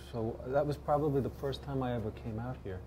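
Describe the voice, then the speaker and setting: With a Bronx accent, a man swings his pitch very widely. Light background noise can be heard. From New York. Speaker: actor. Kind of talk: interview answer. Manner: hesitant, halting. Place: bar. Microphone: lapel.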